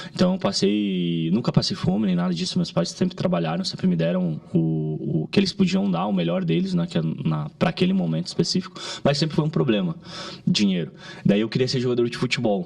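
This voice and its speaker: A man speaks at a fairly quick pace with a medium pitch and very wide pitch swings. Noticeable background noise runs under his voice. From southern Brazil, Caxias do Sul, Rio Grande do Sul. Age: 30s. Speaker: digital marketing entrepreneur. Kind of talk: podcast interview. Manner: halting, with frequent restarts.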